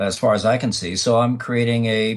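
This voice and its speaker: A man talks at a fairly quick pace and a medium pitch. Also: very clean recording, silent background. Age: 60s. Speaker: author and former TV news cameraman. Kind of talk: interview. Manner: halting, many fillers.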